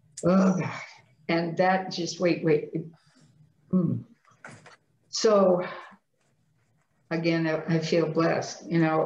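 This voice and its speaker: Very slow and somewhat breathy, a woman speaks at a fairly low pitch with monotone, flat intonation and long, frequent pauses. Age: 60s. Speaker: person living with multiple sclerosis. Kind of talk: interview answer.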